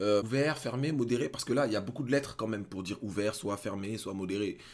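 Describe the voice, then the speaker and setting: Animated tone, ordinary pitch variation and a very fast pace. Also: man, fairly low pitch for a man. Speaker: gaming youtuber. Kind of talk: gaming reaction commentary.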